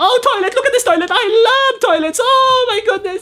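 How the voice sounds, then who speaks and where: Over faint background music, a man performs a cartoonish character voice at an extremely high pitch. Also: moderate pace. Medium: puppet. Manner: panicky.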